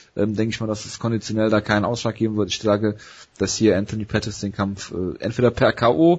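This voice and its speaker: Here a man speaks at a fairly quick pace, somewhat breathy. His pitch is fairly low and his intonation fairly even. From Ruhr area, Germany. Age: 30s. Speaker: MMA podcast host. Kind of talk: casual sports chat.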